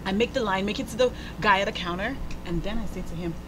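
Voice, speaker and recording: Over noticeable background noise, a woman talks very fast in an animated tone. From Nigeria. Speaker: talk show host. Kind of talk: casual chat.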